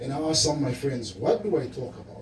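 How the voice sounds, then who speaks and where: Audible room echo surrounds the speaker. He is a man with a fairly high-pitched voice. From Namibia, Zambezi region. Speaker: livestock farming presenter. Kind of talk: presentation at event. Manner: animated.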